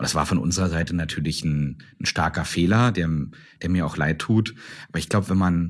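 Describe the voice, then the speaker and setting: A man talks with ordinary pitch variation. The background is silent and the recording very clean. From Brandenburg, eastern Germany (Strausberg). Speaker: startup CEO. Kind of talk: interview. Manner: hesitant, many fillers.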